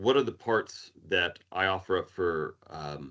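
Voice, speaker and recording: A man with a very deep, low voice and an American accent, against a quiet background. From Arizona, US. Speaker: emergency management manager. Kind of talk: presentation.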